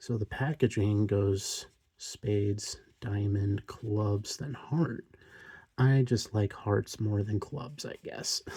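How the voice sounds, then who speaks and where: A man speaks quietly and very slowly, somewhat breathy, at a fairly low pitch with ordinary pitch variation. His tone is dark, mellow and relaxed, on a very clean recording with a silent background. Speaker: card collector youtuber. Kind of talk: casual chat. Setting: home recording at night.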